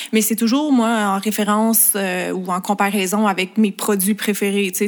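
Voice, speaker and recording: A woman's medium-pitched, flat monotone on a very clean recording with a silent background. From Quebec, Montreal. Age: 20s. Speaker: makeup artist and beauty influencer. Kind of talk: casual interview chat.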